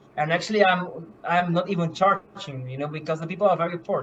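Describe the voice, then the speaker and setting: A high-pitched male voice at a moderate pace against noticeable background noise. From Curaçao and Bonaire. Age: 20s. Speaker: medical missionary. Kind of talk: testimony. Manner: halting, many fillers and repeats.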